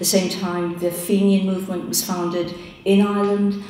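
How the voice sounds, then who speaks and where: A woman speaks in a monotone, flat intonation, with audible room echo and light background noise. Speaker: panelist. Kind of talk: interview answer. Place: hall. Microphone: podium.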